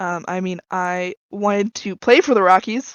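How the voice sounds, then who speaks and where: A woman's medium-pitched voice with fairly even intonation and a General American accent. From Colorado. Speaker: graphic design graduate. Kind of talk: casual chat. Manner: halting.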